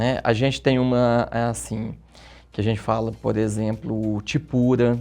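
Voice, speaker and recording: At a fairly slow pace, a man speaks at medium pitch in a dark, mellow tone with fairly even intonation. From Minas Gerais, Brazil (Bom Despacho). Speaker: therapist and journalist. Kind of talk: interview.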